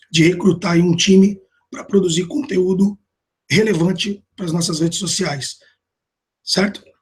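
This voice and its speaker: Long, frequent pauses break up a man's high-pitched speech, which has ordinary pitch variation. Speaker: marketing manager presenting to a team. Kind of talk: internal business presentation. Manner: hesitant with many fillers; informal, conversational.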